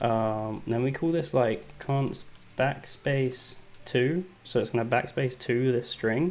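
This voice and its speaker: A man speaks in an English accent. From England. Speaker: software developer. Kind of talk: live coding tutorial. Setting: livestream. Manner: casual, hesitant with fillers.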